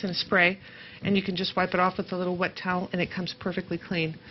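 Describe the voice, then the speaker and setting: A woman with a medium-pitched voice talks at a very fast pace over light background noise. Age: 50s. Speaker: craft show co-host. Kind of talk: craft tutorial. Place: studio. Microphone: lapel.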